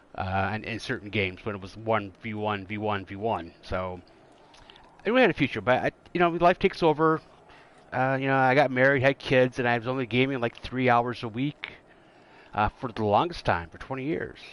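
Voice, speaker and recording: A man's normal speaking voice, medium in pitch, with lively intonation at a fairly quick pace. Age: 50s. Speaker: gaming podcast host. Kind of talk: casual chat.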